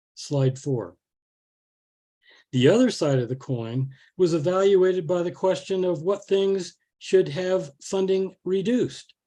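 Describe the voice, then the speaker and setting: A man speaks at a moderate pace in a high pitch with lively intonation. His tone is dark and mellow. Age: 70s. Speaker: botanist speaking against a ballot measure. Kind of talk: public forum presentation.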